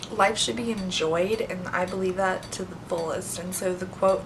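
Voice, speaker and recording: Noticeable background noise and audible room echo surround the recording. A woman of medium pitch speaks at a moderate pace with fairly even intonation. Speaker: beauty vlogger. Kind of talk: casual vlog talk to camera.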